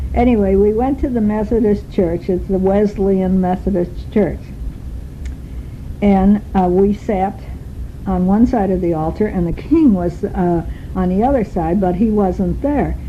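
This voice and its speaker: A woman talks at a fairly slow pace with ordinary pitch variation over noticeable background noise. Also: medium pitch for a woman. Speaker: travel diarist. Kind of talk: spoken travel diary. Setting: recorded on a tape recorder while travelling. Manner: loud.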